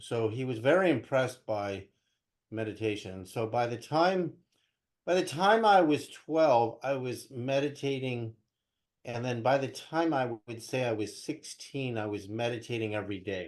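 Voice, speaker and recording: A man with an American accent in an ordinary speaking voice, medium pitch, ordinary pitch variation and a moderate pace, heard against a quiet background. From US West Coast (Berkeley, California). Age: 60s. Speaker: spiritual teacher and researcher. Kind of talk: interview.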